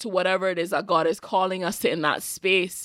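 Someone with an American accent talks at a fairly quick pace in a very clean recording with a silent background. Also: woman. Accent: Caribbean, sounds somewhat American. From Cayman Islands. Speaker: podcast host. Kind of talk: casual solo monologue podcast.

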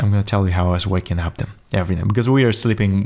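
In a very clean recording with a silent background, the speaker talks with a Polish accent. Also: man. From Poland. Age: 20s. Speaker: podcast host. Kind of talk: solo monologue. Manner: halting, with fillers; improvised, energetic.

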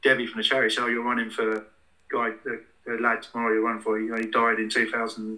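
At a fairly quick pace, a man speaks at a medium pitch in a bright, sharp tone. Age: 40s. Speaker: gym owner and fitness coach. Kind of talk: interview. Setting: internet call.

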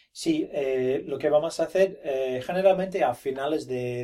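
Speaking very slowly, a man uses a dark, mellow tone with ordinary pitch variation. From Australia, Brisbane. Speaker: teacher running a Spanish immersion school program. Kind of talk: interview. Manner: halting, many fillers and repetitions.

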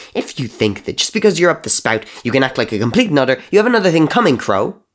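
In a put-on character voice, a man yells furiously and very fast, fairly high and shrill, with very wide pitch swings. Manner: screeching, furious.

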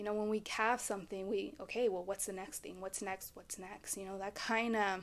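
In a very clean recording with a silent background, a woman with an American accent speaks in a monotone, flat intonation. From Texas, Dallas-Fort Worth. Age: 20s. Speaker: podcast host, life coach. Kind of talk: casual chat.

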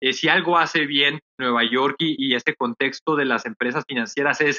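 A man with a plain, everyday voice and a fairly high pitch talks at a fairly slow pace. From Mexico, Tijuana (border with San Diego). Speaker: startup CEO and economist. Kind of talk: podcast interview.

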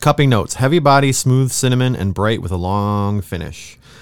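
A man with a normal speaking voice, medium in pitch, lively in intonation, at a moderate pace, in a very clean recording with a silent background. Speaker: podcast co-host. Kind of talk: casual chat. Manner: laughs often, casual, filler-heavy.

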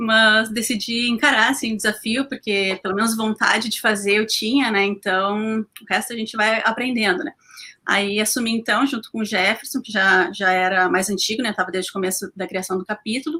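In a bright, sharp tone, a woman speaks at a fairly high pitch with hardly any pauses. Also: ordinary pitch variation, moderate pace. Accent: southern Brazilian. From Porto Alegre, southern Brazil. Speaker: animal rights activist. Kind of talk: casual live-stream panel chat. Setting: online live stream.

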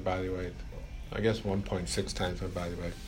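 Audible room echo surrounds this man's voice. He talks at a fairly quick pace with fairly even intonation. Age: old. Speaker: fitness trainer and podcast co-host. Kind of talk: casual chat.

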